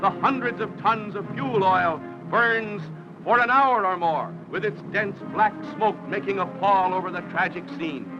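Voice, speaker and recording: With music in the background, a man with a high voice and a mid-Atlantic accent speaks in a raised, projected voice at a moderate pace with ordinary pitch variation. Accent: mid-Atlantic American. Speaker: newsreel announcer. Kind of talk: vintage newsreel narration. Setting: archival film soundtrack.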